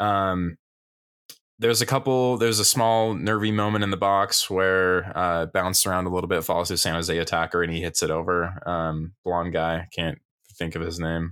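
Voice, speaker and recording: The speaker is a man with a very deep, low voice. His pitch varies in an ordinary way. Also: moderate pace. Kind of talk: soccer match recap, relaxed podcast commentary. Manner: animated, upbeat play-by-play.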